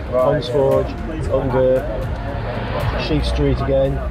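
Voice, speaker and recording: A man speaking at a fairly slow pace over clear background music. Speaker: guide for a river trust. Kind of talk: briefing to group. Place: street.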